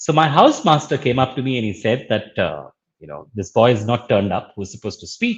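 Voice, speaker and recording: Against a quiet background, a man talks at a fairly quick pace with very wide pitch swings and vocal fry. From India, Bangalore. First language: Urdu. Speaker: social entrepreneur and educator. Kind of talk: interview.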